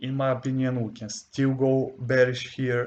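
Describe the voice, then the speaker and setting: Delivery is fairly slow. A non-native accent comes through. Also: man. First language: not English. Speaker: forex trading educator. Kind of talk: tutorial. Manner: halting.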